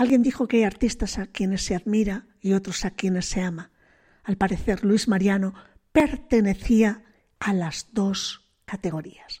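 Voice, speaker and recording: A woman with a dark, mellow, somewhat breathy voice at medium pitch speaks at a fairly slow pace with ordinary pitch variation, in a very clean recording with a silent background. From Spain, Bilbao. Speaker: radio host. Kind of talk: radio music programme presenting.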